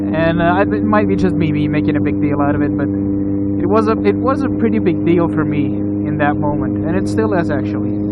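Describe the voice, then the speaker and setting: A man with an American accent, fairly low in pitch, fairly quick and hardly pausing, with lively intonation and very even loudness, over noticeable background noise. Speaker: motovlogger. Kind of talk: casual vlog monologue. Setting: riding a motorcycle outdoors. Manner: halting, many repetitions and fillers.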